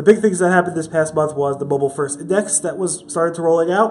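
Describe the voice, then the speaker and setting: Noticeable background noise behind a fairly high male voice with ordinary variation in pitch. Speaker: news video host. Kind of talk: weekly news recap.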